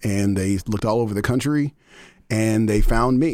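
With an American accent, a man talks at a moderate pace in a fairly low pitch, his tone dark and mellow, with ordinary pitch variation, on a very clean recording with a silent background. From Texas (Denton and Dallas). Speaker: music nonprofit executive director. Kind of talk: interview.

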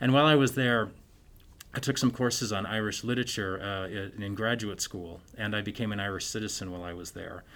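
Speaking at a fairly quick pace with an Upper Midwest accent, a man uses a fairly low pitch, ordinary pitch variation and big swings in loudness. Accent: Upper Midwest American. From US Midwest, Minnesota. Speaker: English professor and writer. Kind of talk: interview.

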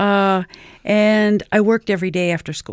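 A woman with a New Mexico accent speaks at a medium pitch in a flat monotone, at a fairly slow pace. The recording is very clean, with a silent background. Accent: New Mexican English. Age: 70s. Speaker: community organizer. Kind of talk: interview. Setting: studio.

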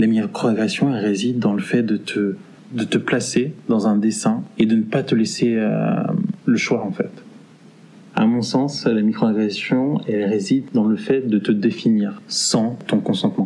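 This man has an ordinary speaking voice, medium in pitch with ordinary pitch variation. He talks at a fairly slow pace. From Paris region, France. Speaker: interviewee sharing experiences. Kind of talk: testimony.

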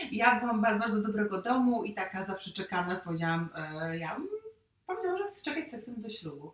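Speaking very fast, a woman uses lively intonation at a fairly high pitch. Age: 30s. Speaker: youtuber sharing her love story. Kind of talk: casual interview.

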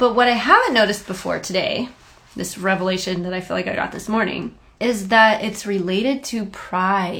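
A woman speaks at a moderate pace with a medium pitch and ordinary pitch variation. Background noise is noticeable. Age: 30s. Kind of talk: devotional monologue. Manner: casual, conversational.

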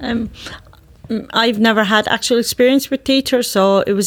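At a moderate pace, a woman with an Irish accent speaks with fairly even intonation. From Ireland. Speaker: youth work student. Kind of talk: interview.

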